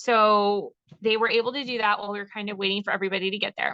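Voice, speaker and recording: A woman with a fairly high pitch speaks at a moderate pace with fairly even intonation. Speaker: direct sales team member. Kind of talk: team presentation on video call. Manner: loud.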